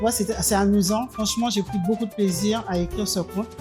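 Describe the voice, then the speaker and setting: Music plays in the background as the speaker moves at a fairly quick pace with fairly even intonation. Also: woman. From Martinique. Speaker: poet, novelist and storyteller. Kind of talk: interview answer. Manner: hesitant, many fillers.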